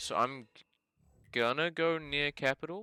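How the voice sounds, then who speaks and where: A man's voice with a bright, sharp tone comes through in a dry, close sound with no echo. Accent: New Zealand. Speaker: geoguessr gaming youtuber. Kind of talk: gameplay commentary. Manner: casual, thinking aloud.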